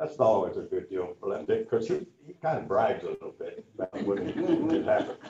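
A man is speaking. Noticeable background noise runs behind him. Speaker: Bible class teacher. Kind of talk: sermon. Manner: casual, folksy. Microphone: camera far.

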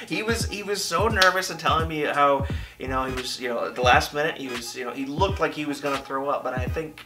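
A man's speech moves at a moderate pace. Clear music can be heard behind him. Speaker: vlogger. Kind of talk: casual vlog chat. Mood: proud, upbeat. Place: home room.

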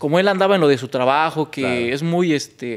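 A man talks at a fairly quick pace. His pitch is fairly high, and the background is quiet. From Mexico, State of Mexico (San Mateo Atenco). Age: 20s. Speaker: professional boxer. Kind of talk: casual interview. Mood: relaxed, reminiscing. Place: studio. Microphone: studio mic.

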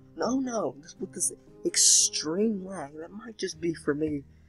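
A woman at a very slow pace, with faint music in the background. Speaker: gamer. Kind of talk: casual gameplay commentary. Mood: playful, mock-complaining. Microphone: webcam.

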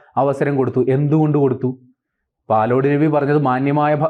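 A man's fairly high-pitched voice holds a monotone, flat intonation and very even loudness. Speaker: political commentator. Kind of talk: casual chat.

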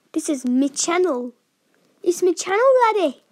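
A woman puts on a character voice in a Scottish accent, pitched extremely high. She speaks at a moderate pace. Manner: exaggerated and mocking.

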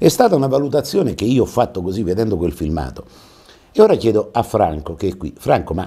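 Speaking at a fairly quick pace, a man with a dark, mellow tone and vocal fry makes very wide pitch swings. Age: 60s. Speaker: TV talk show host. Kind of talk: TV interview. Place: studio. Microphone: lapel.

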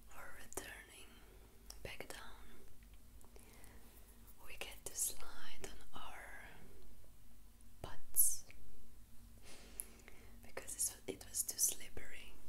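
At a very slow pace with long, frequent pauses, the speech comes through noticeable background noise. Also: woman. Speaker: vlogger. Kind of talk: casual vlog chat. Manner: soft close-mic whisper, storytelling. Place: home room. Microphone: phone near.

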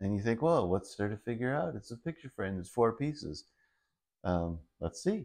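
A man at a moderate pace, very wide pitch swings, and a quiet background. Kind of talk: tutorial. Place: garage.

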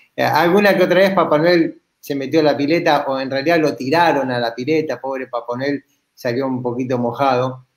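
A man with a Rioplatense accent, fairly high in pitch with ordinary pitch variation, talking at a fairly quick pace with hardly any pauses against a quiet background. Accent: Argentine Rioplatense Spanish. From Argentina. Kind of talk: live panel chat. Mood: amused anecdote. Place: home room.

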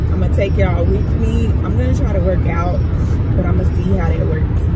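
A woman's voice, dry with no echo, over music in the background. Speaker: vlogger. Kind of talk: casual vlog chat. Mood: cheerful, excited. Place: car. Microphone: phone near.

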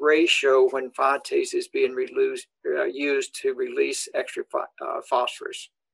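A man with a Southern US accent, at a fairly slow pace. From Tennessee, US South. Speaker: animal nutrition professor; guest. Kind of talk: interview. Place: office. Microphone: webcam.

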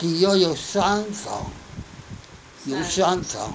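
Light background noise sits under the speech. The pace is very slow, with ordinary pitch variation. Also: man. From Guangxi, China. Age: 90s. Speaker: homeowner builder. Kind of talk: interview answer. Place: home room.

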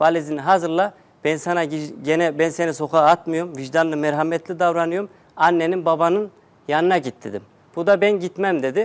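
Here a man talks at a fairly quick pace. His pitch is high, with fairly even intonation. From Central Anatolia, Turkey (Nevşehir); Central Anatolia, Turkey. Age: 30s. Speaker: TV show participant seeking divorce; talk show guest. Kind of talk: TV talk show interview. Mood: aggrieved, recounting betrayal. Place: studio. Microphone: lapel.

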